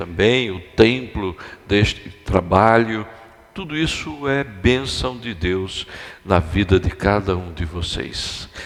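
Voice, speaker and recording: Very slow speech from a man at a fairly low pitch, ordinary pitch variation, noticeable background noise behind him. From Brazil, Recife, Pernambuco. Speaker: guest pastor. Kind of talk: sermon. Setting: church.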